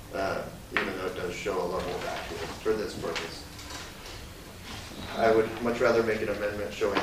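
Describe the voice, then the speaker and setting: Over loud background noise and audible room echo, a man speaks at a fairly quick pace. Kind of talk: budget presentation at a public meeting. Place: meeting room. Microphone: camera far.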